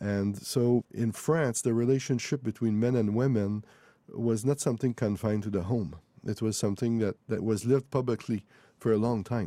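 A man with a Quebec accent speaks at medium pitch and a moderate pace, his tone dark and mellow, his intonation fairly even, and his loudness very even. The recording is very clean with a silent background, dry and close with no echo. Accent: Québécois French-accented English. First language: French. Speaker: author. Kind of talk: interview. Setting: studio.

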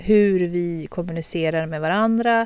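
On a very clean recording with a silent background, a woman with a dark, mellow tone speaks very slowly with ordinary pitch variation. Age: 30s. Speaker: podcast co-host. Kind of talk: casual chat.

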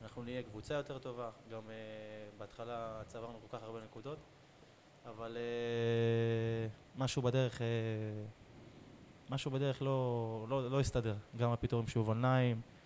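Speaking at a fairly slow pace, a man holds a medium pitch in a monotone, flat intonation. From Israel, Beersheba. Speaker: professional footballer. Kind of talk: casual interview.

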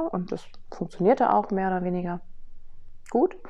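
This woman talks at a moderate pace, her pitch sitting in the middle range. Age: 40s. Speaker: podcast host and business coach. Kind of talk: personal storytelling monologue. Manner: casual with frequent fillers.

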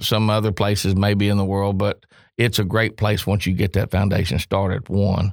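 A man with an American accent, fairly low-pitched, flat and monotone, on a very clean recording with a silent background. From Oklahoma. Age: 50s. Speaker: car collector and businessman, former auctioneer. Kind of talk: interview. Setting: studio.

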